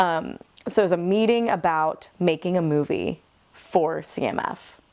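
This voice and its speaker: Her pace is fairly slow, and the woman's pitch sits fairly low. The pitch variation is ordinary. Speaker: student actor. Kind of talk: interview. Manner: loud; animated.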